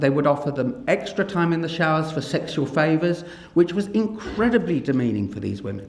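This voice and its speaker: Audible room echo surrounds a man whose fairly high pitch makes very wide swings as he talks at a fairly quick pace. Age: 60s. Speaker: paediatrician and professor. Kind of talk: public talk. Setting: stage with audience.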